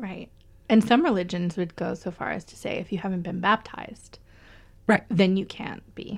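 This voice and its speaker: A woman talks at a moderate pace and medium pitch, somewhat breathy. Her intonation is fairly even, but her loudness swings widely. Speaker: podcast co-host. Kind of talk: casual chat.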